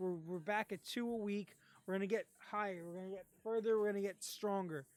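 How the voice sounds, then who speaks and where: A woman talks with fairly even intonation at a medium pitch. She has an unremarkable speaking voice. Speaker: streamer and comic reviewer. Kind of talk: casual live stream outro. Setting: live stream.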